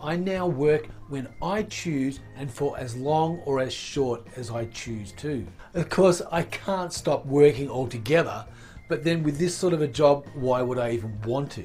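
Over faint music in the background, a man talks at a fairly slow pace. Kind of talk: casual vlog chat. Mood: upbeat and grateful.

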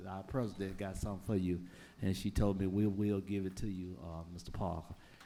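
With an Alabama accent, a man talks at a fairly quick pace and fairly low pitch. His tone is dark and mellow, with audible room echo. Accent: Southern US (Alabama). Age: 60s. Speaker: public commenter. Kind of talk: public comment at council meeting. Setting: city council chamber. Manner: halting.

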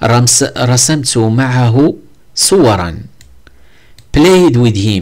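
A man with a Moroccan accent, very slow in pace, with lively intonation. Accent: Moroccan Arabic (Darija). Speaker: English teacher. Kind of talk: tutorial. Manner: halting.

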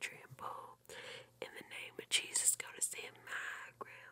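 A whisper at a fairly slow pace, the sound dry with no echo. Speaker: ASMR YouTuber. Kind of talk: soft ASMR chat and whisper-singing. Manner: close-mic whispered song lyrics. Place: home room. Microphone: studio mic.

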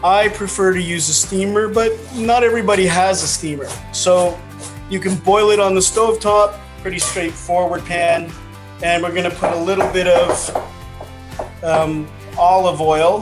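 Clear music plays in the background. The speech is fairly slow, with fairly even intonation. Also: man, high pitch for a man. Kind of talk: tutorial. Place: home room. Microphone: video call.

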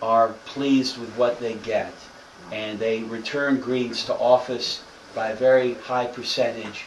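A man of medium pitch at a fairly slow pace, with audible room echo and noticeable background noise. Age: 30s. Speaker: politician. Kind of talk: speech.

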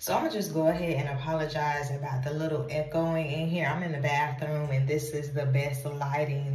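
A woman with a very deep, low voice speaks at a moderate pace amid audible room echo and light background noise. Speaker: career vlogger. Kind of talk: casual vlog chat. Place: bathroom. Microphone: phone near.

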